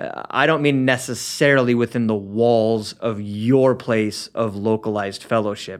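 A man with an American accent has a plain, everyday voice at a medium pitch, speaking at a moderate pace with hardly any pauses. His intonation is fairly even, and the background is quiet. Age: 30s. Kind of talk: casual chat. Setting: studio.

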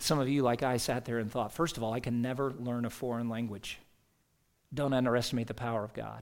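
A man with an American accent, medium in pitch, talking at a very fast pace in a monotone, flat intonation. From US South. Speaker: pastor. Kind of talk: sermon.

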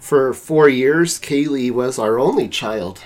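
Intonation is lively here. The man's pitch is fairly high. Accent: American. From Utah, US. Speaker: family guest, father. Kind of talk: casual chat.

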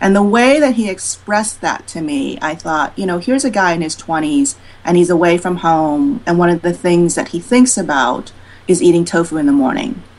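A woman's unremarkable speaking voice, fairly low in pitch, with lively intonation at a moderate pace. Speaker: cookbook author. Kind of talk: podcast interview.

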